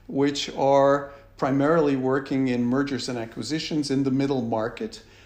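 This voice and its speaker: A man with an American accent talks with fairly even intonation. There is audible room echo and noticeable background noise. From United States. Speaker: business executive. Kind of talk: interview. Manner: hesitant, many fillers.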